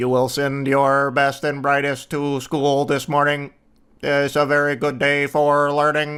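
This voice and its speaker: A man's put-on character voice, fairly high in pitch, monotone and flat, at a fairly slow pace. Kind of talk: formal, pronouncing. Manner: booming, commanding, announcing.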